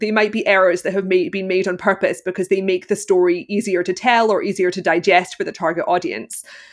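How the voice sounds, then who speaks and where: With lively intonation and a fairly quick pace, a woman talks in a Glaswegian accent. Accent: Glaswegian Scottish. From Scotland, Glasgow. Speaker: film critic and costume analyst. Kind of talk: interview.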